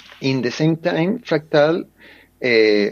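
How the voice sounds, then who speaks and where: Pitched fairly high, a man with a Spanish accent speaks with lively intonation. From Chile. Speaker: board game designer and publisher. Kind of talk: interview. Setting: remote call. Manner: halting, many fillers and repetitions.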